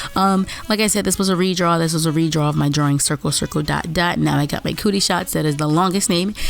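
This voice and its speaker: A woman with a very deep, low voice talks very fast, her intonation fairly even. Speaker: artist and video creator. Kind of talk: voiceover commentary over drawing video. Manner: casual, rambling with fillers.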